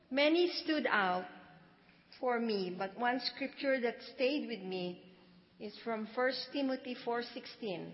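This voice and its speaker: A woman's high voice, very slow with long, frequent pauses and ordinary pitch variation, over noticeable background noise. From Philippines. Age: 70s. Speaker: church member. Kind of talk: testimony. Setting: church.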